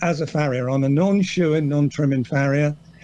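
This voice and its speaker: With an English accent, a man speaks in a dark, mellow tone with fairly even intonation. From England. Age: 60s. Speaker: farrier. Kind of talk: podcast interview. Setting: video call.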